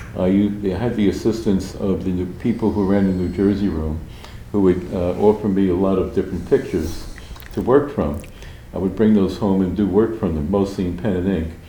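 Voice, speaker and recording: Through noticeable background noise and audible room echo, a man with a very deep, low pitch talks fairly quickly in fairly even intonation. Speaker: artist. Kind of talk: interview conversation. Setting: public library.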